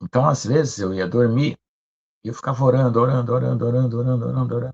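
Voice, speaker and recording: Dry and close with no echo, a man's somewhat breathy, medium-pitched voice races along at a very fast pace with lively intonation. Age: 60s. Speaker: pastor. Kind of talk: sermon. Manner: conversational.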